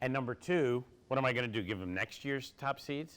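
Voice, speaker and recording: In a plain, everyday voice, a man with an American accent and medium pitch talks at a fairly quick pace. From Philadelphia, US. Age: 60s. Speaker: college basketball analyst. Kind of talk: audience Q&A at university event.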